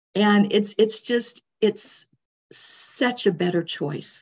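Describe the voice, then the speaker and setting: A woman with an American accent speaks at a medium pitch, her voice somewhat breathy and her pitch varying in an ordinary way. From Arizona, US. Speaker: energy healer. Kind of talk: interview.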